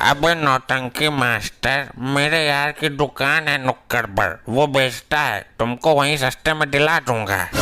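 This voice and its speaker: Using a cartoonish character voice, a man with a fairly high pitch speaks fairly slowly with very even loudness and hardly any pauses. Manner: brash, slangy, teasing.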